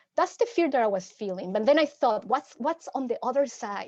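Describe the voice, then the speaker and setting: The speaker has a Mexican accent. Their pitch swings very widely. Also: woman. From Mexico City. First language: Spanish. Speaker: psychotherapist. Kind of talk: workshop presentation. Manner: halting, frequent repetitions.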